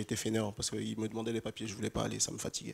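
A man talks with a fairly low pitch. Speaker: panel speaker on African digital entrepreneurship; panel expert. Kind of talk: panel discussion. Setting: conference stage with audience. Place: hall. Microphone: handheld.

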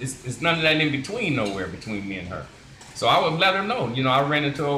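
Audible room echo and light background noise surround speech delivered at a very fast pace. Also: man. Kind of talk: casual group discussion. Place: shop. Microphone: phone near.

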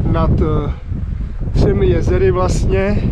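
Over loud background noise, a man speaks at a very slow pace in a dry recording with no echo. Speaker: travel vlogger. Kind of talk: casual vlog chat. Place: open country. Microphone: phone near.

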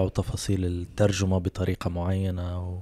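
A man talks in a dark, mellow tone at a fairly low pitch and a moderate pace. The background is quiet and the sound is dry with no echo. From Libya. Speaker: podcast host. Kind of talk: casual chat. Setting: studio. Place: home room. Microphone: handheld.

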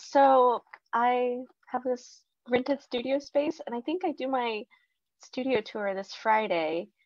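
Against a quiet background, a woman speaks at a very slow pace with fairly high pitch and lively intonation. The sound is dry, with no echo. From Mexico, raised in US South. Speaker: potter and illustrator. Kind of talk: casual panel talk. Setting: video call. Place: workshop.

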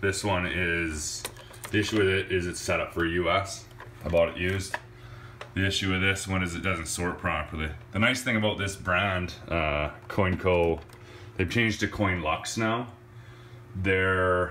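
A man's very deep, low voice at a fairly slow pace, with fairly even intonation, long, frequent pauses and light background noise. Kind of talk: casual vlog walk-through. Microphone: phone near.

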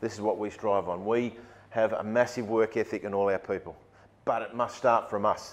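A man with an Australian accent, at a medium pitch and a fairly quick pace, in a monotone, flat intonation. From Sydney, Australia. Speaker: rugby league football director; guest. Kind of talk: keynote talk to business audience. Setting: stage with audience. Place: meeting room.

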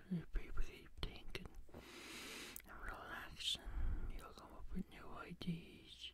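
A man whispering in a gentle tone at a very slow pace, with a dry sound with no echo under loud background noise. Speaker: home video creator. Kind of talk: casual vlog chat. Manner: gentle close-mic whisper. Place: home room. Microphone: studio mic.

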